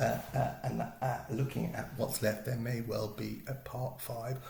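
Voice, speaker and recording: A man with a British accent over noticeable background noise. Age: middle-aged. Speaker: BookTuber. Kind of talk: casual talk to camera.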